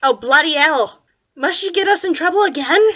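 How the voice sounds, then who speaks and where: A woman adopts a put-on character voice, pitched extremely high and delivered at a moderate pace. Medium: read story. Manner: grumbling.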